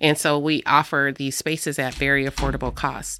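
With an American accent, a woman speaks at a moderate pace in a very deep, low pitch and a bright, sharp tone on a very clean recording with a silent background. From US Midwest, Davenport, Iowa. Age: 50s. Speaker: radio host and community organizer. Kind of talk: casual interview chat. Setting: radio studio.

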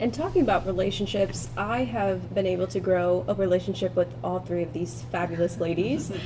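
With an American accent, a woman talks at a fairly quick pace with hardly any pauses. There is noticeable background noise. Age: 20s. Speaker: podcast host, college student. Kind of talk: podcast hosting.

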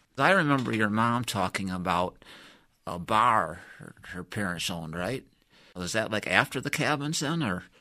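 On a very clean recording with a silent background, a man with an American accent speaks at a moderate pace in a bright, sharp tone, his loudness swinging widely. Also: lively intonation. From US Midwest, Michigan. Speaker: retired engineer interviewing his wife. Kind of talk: oral-history interview. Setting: studio. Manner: hesitant, filler-heavy.

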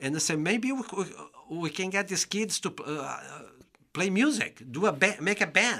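In a Brazilian Portuguese accent, a man talks at a fairly slow pace with a high pitch, a bright, sharp tone and lively intonation. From Brazil, interior of São Paulo state. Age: 50s. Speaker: bassoonist and music educator. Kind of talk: casual interview. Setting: studio.

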